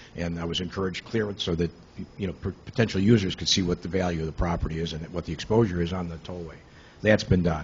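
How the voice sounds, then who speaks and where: A very deep, low male voice, very fast and somewhat breathy, with fairly even intonation. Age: 70s. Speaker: property developer addressing village board. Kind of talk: public comment at committee meeting. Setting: village committee meeting. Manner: halting, many fillers and repeats.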